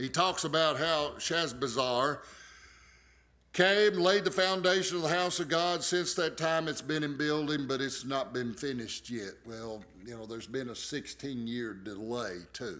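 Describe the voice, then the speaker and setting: A man with an American accent talks at a fairly high pitch and a fairly slow pace. His tone is bright and sharp, with lively intonation. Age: 60s. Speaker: pastor. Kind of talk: bible study teaching. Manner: casual, conversational.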